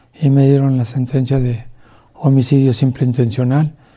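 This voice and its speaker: A man talks at a fairly slow pace in a medium pitch, his tone dark and mellow and somewhat breathy. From Mexico City. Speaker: former police officer and ex-convict. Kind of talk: testimony. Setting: at home under house arrest.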